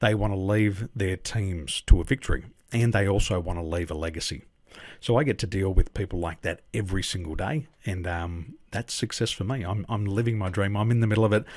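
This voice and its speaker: A man with an Australian accent talks at a fairly quick pace, fairly low and somewhat breathy, with ordinary pitch variation. The recording is very clean, with a silent background. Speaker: business coach. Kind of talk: interview.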